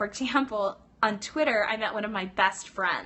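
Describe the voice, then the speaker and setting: Her pitch sits in the medium range for a woman, varying in an ordinary way. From US West Coast (Los Angeles). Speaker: pilates instructor and business coach. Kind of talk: live stream chat. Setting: live stream from teachers lounge. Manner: fast; animated.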